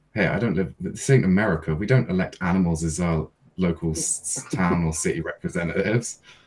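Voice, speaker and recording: Speaking with a British accent, a man talks at a fairly quick pace. His voice is very deep and low, with ordinary pitch variation. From England. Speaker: YouTuber. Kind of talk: casual chat.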